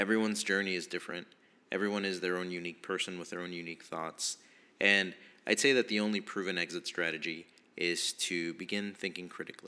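A man with an American accent speaks at a very fast pace in a very deep, low pitch with a bright, sharp tone. His intonation stays fairly even on a very clean recording with a silent background. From East Texas. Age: 20s. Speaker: podcast host. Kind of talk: personal monologue podcast. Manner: halting, many fillers.

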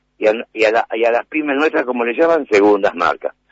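A man's lively intonation, vocal fry and moderate pace. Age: 50s. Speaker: shopkeepers' association leader. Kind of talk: radio interview. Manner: halting, many repetitions and fillers.

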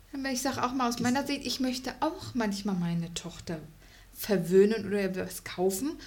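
Audible room echo surrounds a woman speaking at a moderate pace. Her somewhat breathy voice sits at a fairly high pitch. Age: 30s. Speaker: host's wife. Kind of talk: casual chat.

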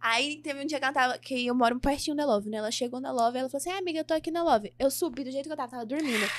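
A woman talks at a very fast pace, with hardly any pauses. Her pitch is high, with ordinary variation. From São Paulo, Brazil. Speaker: funk singer. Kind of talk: casual interview.

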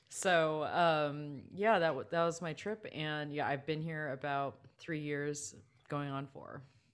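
In a Californian accent, a woman speaks at a very slow pace with a very deep, low pitch, on a very clean recording with a silent background. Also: ordinary pitch variation. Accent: Californian American English. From Southern California, Los Angeles County. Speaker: composer and music teacher. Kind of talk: casual interview chat.

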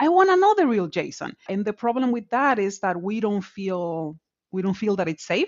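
A woman with a Dominican accent, medium pitch, lively intonation and a moderate pace. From Dominican Republic. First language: Spanish. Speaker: tech executive in higher education. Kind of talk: casual interview chat.

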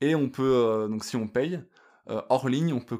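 On a very clean recording with a silent background, a man at medium pitch speaks at a very slow pace with ordinary pitch variation. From France. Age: 30s. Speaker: hiker. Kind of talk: casual interview.

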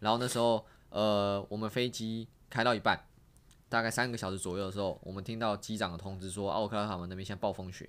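Talking very fast with fairly even intonation, a man with fairly low pitch comes through in a very clean recording with a silent background. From Taiwan. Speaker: street dancer and exchange student. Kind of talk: casual chat.

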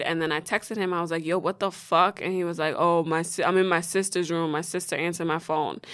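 A woman talks at a moderate pace. Her pitch is fairly low. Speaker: podcast co-host. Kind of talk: casual chat. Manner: laughs often while talking; animated.

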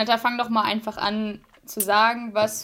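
A woman speaks very slowly at a fairly high pitch. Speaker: podcast co-host. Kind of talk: casual chat. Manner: long pauses between words.

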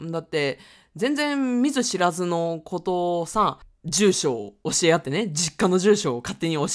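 At medium pitch, a woman speaks with very wide pitch swings. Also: very clean recording, silent background. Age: 30s. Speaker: podcast host, freelancer. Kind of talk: casual monologue. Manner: casual, with laughs and fillers.

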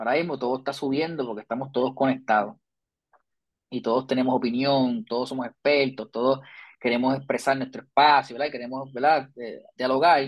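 Talking at a fairly quick pace, a man uses a normal speaking voice at a medium pitch with fairly even intonation. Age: 30s. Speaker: psychology professor and researcher. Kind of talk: interview.

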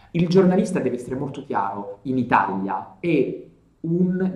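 With a dark, mellow tone, a man speaks at a fairly slow pace amid audible room echo. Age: 30s. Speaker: journalist and video storyteller. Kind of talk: casual interview.

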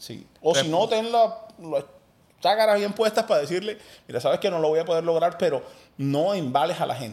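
Pitched high for a man, his voice moves at a fairly quick pace with lively intonation. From Colombia, Cartagena (Caribbean coast). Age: 30s. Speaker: entrepreneur and former radio host. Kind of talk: casual interview conversation.

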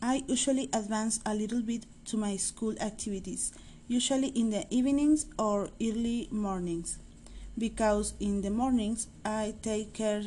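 Speaking at a fairly slow pace, a woman has a fairly high, somewhat breathy voice with a dark, mellow tone and fairly even intonation. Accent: Spanish. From Mexico, Monterrey. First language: Spanish. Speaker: adult student. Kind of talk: reading aloud.

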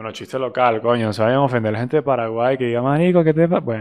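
A man with a Venezuelan accent at a very fast pace. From Venezuela, Barquisimeto. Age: 20s. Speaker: podcast host. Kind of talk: casual monologue.

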